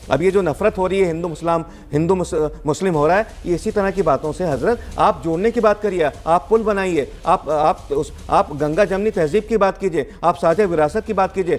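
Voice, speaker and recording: Here a man talks at a moderate pace with hardly any pauses. His pitch is high, with ordinary pitch variation. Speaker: debate panelist. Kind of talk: heated debate.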